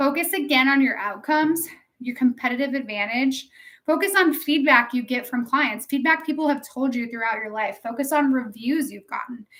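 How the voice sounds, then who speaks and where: Bright and sharp in tone, this raised, projected voice shows ordinary pitch variation. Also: woman. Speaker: realtor and coach. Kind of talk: tutorial. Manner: fast.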